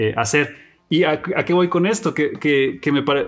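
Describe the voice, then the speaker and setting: A man speaks with a Mexican accent. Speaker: podcast host. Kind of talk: casual interview chat. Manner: halting.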